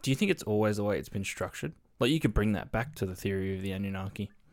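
In a very clean recording with a silent background, a man speaks at a fairly low pitch with ordinary pitch variation. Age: 20s. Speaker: podcast co-host. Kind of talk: reading news stories aloud; casual chat.

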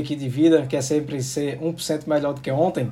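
At a fairly quick pace, a man speaks with a fairly high pitch. His tone is dark, mellow, and somewhat breathy. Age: 30s. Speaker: podcast host. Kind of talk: casual chat.

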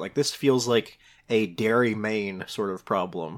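With a plain, everyday voice, a man speaks at a moderate pace and ordinary pitch variation in a very clean recording with a silent background. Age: young. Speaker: podcast co-host. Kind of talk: casual chat.

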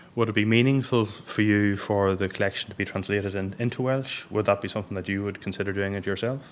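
A man with an Irish accent, fairly low in pitch, very fast and with hardly any pauses, his intonation fairly even. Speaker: books journalist hosting event. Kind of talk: moderated book event interview. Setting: stage with audience.

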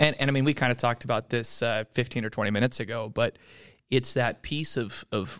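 On a very clean recording with a silent background and a dry, close sound with no echo, a man with an American accent speaks at medium pitch and a fairly quick pace. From Utah. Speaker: archery industry representative. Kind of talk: casual interview.

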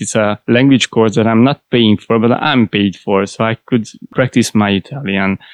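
At a moderate pace, a man with a Hungarian accent speaks in a fairly low pitch and fairly even intonation, with a dry, close sound with no echo and a quiet background. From Hungary. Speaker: IT process analyst. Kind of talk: interview.

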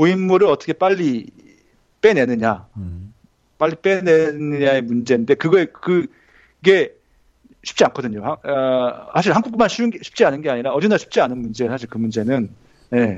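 This man speaks at a fairly high pitch, and his pitch swings very widely. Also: moderate pace. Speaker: graduate student and former IT journalist. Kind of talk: casual interview chat.

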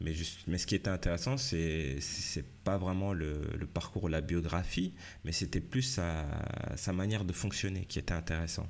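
With ordinary pitch variation, a man talks at a moderate pace in a very deep, low voice. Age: 40s. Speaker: life and career coach, podcaster. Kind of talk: solo podcast monologue. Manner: halting, many fillers and repetitions.

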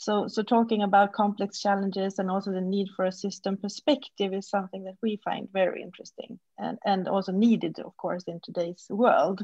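In a dry, close sound with no echo, a woman speaks at a fairly quick pace with hardly any pauses, her medium-pitched voice somewhat breathy, dark and mellow, with fairly even intonation. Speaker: podcast host. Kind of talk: interview conversation.

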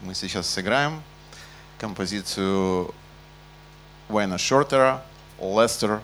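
In a room with audible echo, a man speaks very slowly at a fairly low pitch with ordinary pitch variation and long, frequent pauses. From Ukraine. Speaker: jazz bassist and bandleader. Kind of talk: concert stage announcements. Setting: stage with audience in jazz club.

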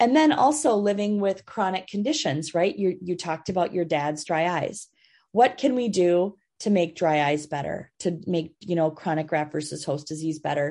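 With an American accent, a woman speaks at a moderate pace in a fairly low pitch and a dark, mellow tone. Her intonation is lively, and the background is quiet. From Minnesota. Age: 50s. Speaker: pediatric transplant physician. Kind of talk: interview.

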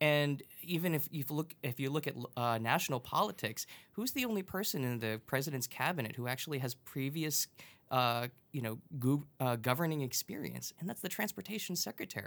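A man with an American accent has a plain, everyday voice at a fairly high pitch. He talks at a fairly quick pace with ordinary pitch variation. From Long Island, New York. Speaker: transit advocate. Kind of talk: casual chat. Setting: studio.

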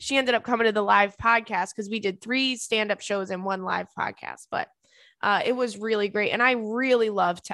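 The voice is loud and animated, bright and sharp in tone, with ordinary pitch variation. The background is quiet. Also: woman. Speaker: podcast host. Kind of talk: casual chat. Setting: studio with headphones. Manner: animated, can get loud.

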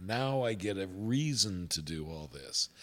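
Over background music, a man speaks in a fairly low voice with an American accent. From US Midwest, Indiana. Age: 60s. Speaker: pastor. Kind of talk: casual chat. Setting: studio.

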